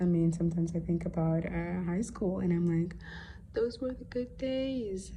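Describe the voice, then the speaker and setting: The woman's voice carries audible room echo. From Netherlands (arrived from Somalia at six). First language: Somali. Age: 20s. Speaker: student teacher. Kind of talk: school assignment podcast monologue. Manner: hesitant, many fillers.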